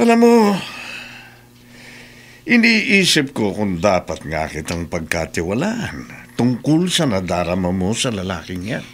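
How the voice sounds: A man's put-on character voice, low in pitch, fairly slow, with very wide pitch swings.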